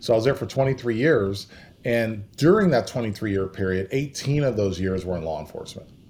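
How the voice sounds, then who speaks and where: At a fairly quick pace, a man talks in an ordinary speaking voice of medium pitch with lively intonation. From California. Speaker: former police officer and drug trends trainer. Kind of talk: interview. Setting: video call.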